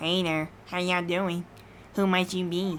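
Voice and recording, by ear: A put-on character voice, female-sounding, at a middle pitch and moderate pace, with monotone, flat intonation over clear background noise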